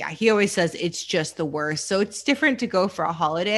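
Against a quiet background, a woman with a Canadian accent and an ordinary speaking voice talks at a moderate pace with ordinary pitch variation. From Canada. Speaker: true crime podcast host. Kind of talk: casual chat with case narration.

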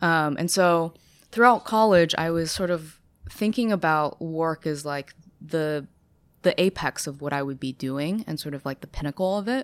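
On a very clean recording with a silent background and a dry, close sound with no echo, a woman with a fairly low pitch talks at a moderate pace with ordinary pitch variation. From China, raised in Ithaca, New York. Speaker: brand strategist. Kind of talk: casual interview. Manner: hesitant, many fillers.

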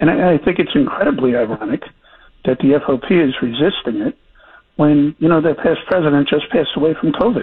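An unremarkable speaking voice from a man, fairly high in pitch, with lively intonation, a fairly quick pace and very even loudness. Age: 60s. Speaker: former police chief. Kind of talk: interview.

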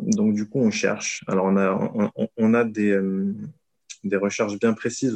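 The tone is dark and mellow, with monotone, flat intonation. The sound is dry and close, with no echo. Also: man. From southern France. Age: 30s. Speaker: private investor. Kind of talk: casual interview. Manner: hesitant, many fillers.

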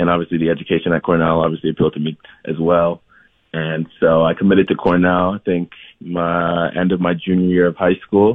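Fairly quickly and in a flat monotone, a man with a very deep, low voice speaks with an American accent. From US Midwest, Columbus, Ohio. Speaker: professional soccer player. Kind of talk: radio interview.

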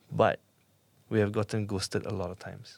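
A man's fairly low voice with vocal fry at a fairly quick pace, on a very clean recording with a silent background. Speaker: podcast host. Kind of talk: interview. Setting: studio.

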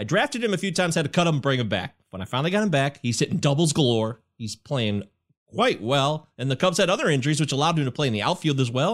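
A man at a very fast pace with very wide pitch swings, on a very clean recording with a silent background. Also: fairly high pitch for a man. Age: 40s. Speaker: fantasy baseball podcaster. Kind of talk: casual sports chat.

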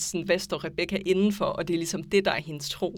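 With a fairly low pitch and vocal fry, a woman talks at a fairly quick pace in fairly even intonation. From Aarhus, Denmark. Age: 20s. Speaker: anthropology student. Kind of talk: casual discussion. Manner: hesitant, many fillers.

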